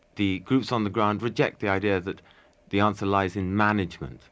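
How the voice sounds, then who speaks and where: A normal speaking voice. It moves at a fairly quick pace. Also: man. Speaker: magazine editor and environmental activist. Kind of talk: interview.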